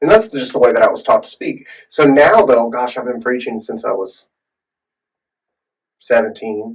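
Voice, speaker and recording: A man talks at a moderate pace, stopping often for long pauses. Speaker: podcast co-host and preacher. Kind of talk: casual chat.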